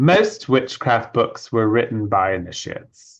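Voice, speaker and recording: Over a quiet background, a man with a slight British accent speaks at a medium pitch and a fairly slow pace. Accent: slight British hint. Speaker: author and witchcraft initiate. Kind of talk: interview.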